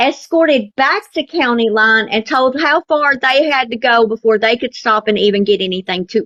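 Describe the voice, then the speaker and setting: A woman's high voice with lively intonation at a fairly slow pace. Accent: Southern US. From US South. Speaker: TikTok live participant. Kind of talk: casual chat. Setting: live stream.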